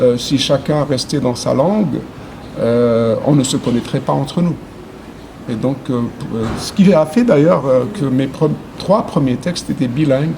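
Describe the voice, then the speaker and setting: A man with an Arabic accent speaks at a fairly slow pace with long, frequent pauses. His pitch is fairly high with ordinary variation, and there is noticeable background noise. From Algeria. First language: Arabic (speaking French). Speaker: poet. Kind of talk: interview. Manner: halting, many hesitations.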